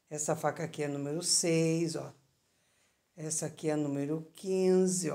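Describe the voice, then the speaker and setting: Over a quiet background, a dark, mellow voice speaks fairly slowly in a monotone, flat intonation, with long, frequent pauses. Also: woman, very deep, low pitch for a woman. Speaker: knife seller. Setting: video recording. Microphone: phone near.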